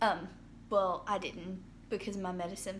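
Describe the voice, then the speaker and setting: A woman's medium-pitched, monotone, flat delivery at a moderate pace, with audible room echo. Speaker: vlogger sharing mental health experience. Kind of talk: casual video diary. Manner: hesitant, many fillers.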